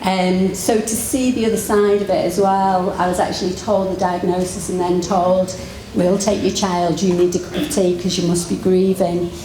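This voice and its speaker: Over noticeable background noise and audible room echo, a woman speaks at a moderate pace with fairly even intonation and hardly any pauses. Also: medium pitch for a woman. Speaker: physiotherapist. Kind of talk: conference talk. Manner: halting.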